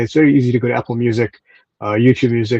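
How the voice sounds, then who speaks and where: The man's voice has a dark, mellow tone. He speaks at a very fast pace. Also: dry, close sound with no echo. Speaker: radio presenter. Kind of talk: interview answer. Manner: energetic, upbeat.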